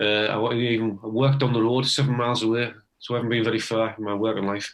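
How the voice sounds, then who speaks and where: In a Teesside accent, a man talks at a very fast pace, his medium pitch held in a monotone, flat intonation. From northeast England, Teesside. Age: 60s. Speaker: retired electrician, amateur harmonica player. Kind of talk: casual interview. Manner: halting, many false starts.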